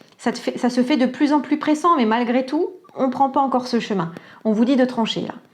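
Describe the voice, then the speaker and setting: High-pitched female voice at a fairly quick pace over noticeable background noise. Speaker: tarot and oracle card reader. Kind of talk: psychic reading guidance. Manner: calm, soft; hesitant, many fillers.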